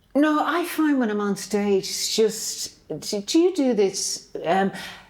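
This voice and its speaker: Against noticeable background noise, a woman speaks at a fairly high pitch and a very slow pace, her pitch swinging very widely. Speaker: stage performer. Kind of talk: podcast chat.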